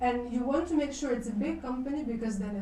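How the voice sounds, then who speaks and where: Noticeable background noise and audible room echo surround a woman's high voice. She talks at a fairly quick pace with ordinary pitch variation. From Ukraine. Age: 30s. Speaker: business school international development director. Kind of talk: lecture. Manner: casual, many fillers.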